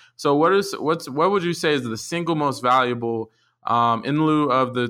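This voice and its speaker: With lively intonation and a normal speaking voice, a man talks at a moderate pace. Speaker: podcast host. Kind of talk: interview. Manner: laughs often.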